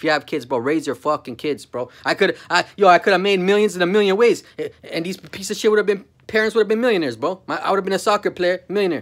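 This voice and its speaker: Against a quiet background, a man with a high voice speaks very fast in an animated tone, his pitch varying in an ordinary way. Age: 40s. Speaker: vlogger. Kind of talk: casual rant to camera. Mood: angry, contemptuous ranting. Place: home room. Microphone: phone near.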